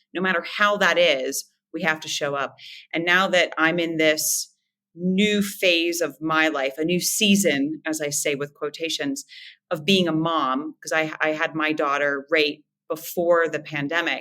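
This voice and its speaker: A woman with an American accent speaks at a very deep, low pitch. Her tone is bright and sharp, and her pace is fairly slow. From West Virginia, Moundsville. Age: 40s. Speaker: former dancer and business owner. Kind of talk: podcast interview. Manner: animated.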